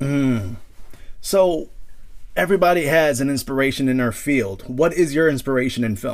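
With a normal speaking voice, a man talks at a moderate pace and a fairly high pitch, with ordinary pitch variation. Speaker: podcast host. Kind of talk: interview.

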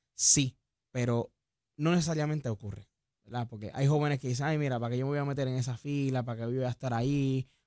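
Against a quiet background with a dry sound and no echo, a man rushes along very fast in a dark, mellow tone. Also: fairly even intonation. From Puerto Rico, Dorado; Puerto Rico. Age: young. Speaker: young political activist; talk show guest or co-host. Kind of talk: radio interview. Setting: studio. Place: studio. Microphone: studio mic.

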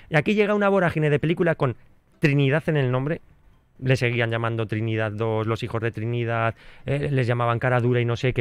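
Very fast speech with very wide pitch swings, dry with no echo, over a quiet background. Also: man. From Spain. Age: 40s. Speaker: film and nostalgia radio contributor; nostalgia radio contributor. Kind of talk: radio segment chat. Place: studio. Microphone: studio mic.

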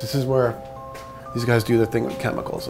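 A man talks at a fairly quick pace while clear music plays in the background. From New York. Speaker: surf photographer. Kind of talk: casual talk to camera. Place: workshop.

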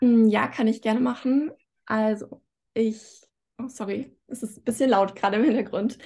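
This woman's somewhat breathy voice sits at a fairly high pitch, with a dark, mellow tone and fairly even intonation. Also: moderate pace. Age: 20s. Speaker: student and YouTuber; YouTuber. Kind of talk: casual interview. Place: home room. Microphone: video call.

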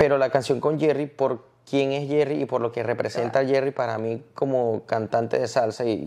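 A man's fairly quick, fairly even-toned delivery in an ordinary speaking voice. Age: 30s. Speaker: salsa singer; interview guest. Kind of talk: casual chat. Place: home room. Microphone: lapel.

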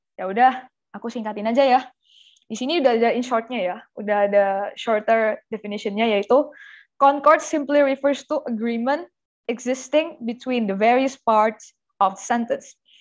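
A woman's high-pitched voice at a moderate pace, with big swings in loudness, ordinary pitch variation and a quiet background. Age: young. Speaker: tutor. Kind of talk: online class lesson. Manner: casual. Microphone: webcam.

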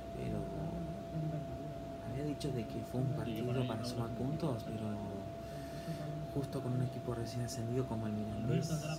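Through loud background noise, a man speaks at a moderate pace with long, frequent pauses. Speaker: football fan reacting. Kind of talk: football match reaction. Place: home room. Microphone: phone near.

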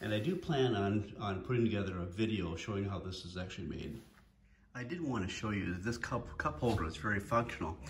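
A man at a fairly quick pace, fairly low in pitch, lively in intonation, with audible room echo

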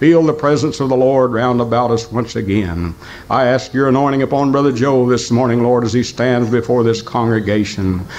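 Against light background noise, a man speaks at a moderate pace with a medium pitch and fairly even intonation. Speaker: church member leading prayer. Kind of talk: fervent congregational prayer. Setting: church service. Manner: repetitive fervent cadence, constantly interjecting Father and Lord. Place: church.

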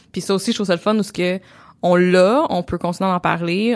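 A woman's fairly low voice in a Quebec accent, on a very clean recording with a silent background. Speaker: podcast co-host and entrepreneur. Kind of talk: casual chat. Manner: gets louder and higher when passionate.

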